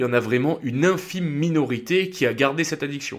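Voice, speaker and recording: Speaking in an ordinary speaking voice at a fairly high pitch, a man keeps a moderate pace and ordinary pitch variation. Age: 20s. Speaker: podcast host, former soldier. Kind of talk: casual monologue. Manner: casual, many fillers.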